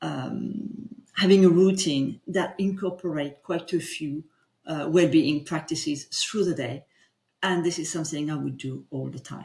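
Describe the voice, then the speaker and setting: With a French accent, a woman speaks fairly slowly in a very deep, low pitch, a dark, mellow tone, vocal fry, ordinary pitch variation and big swings in loudness. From France. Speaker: executive coach. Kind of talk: guided coaching session. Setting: livestream.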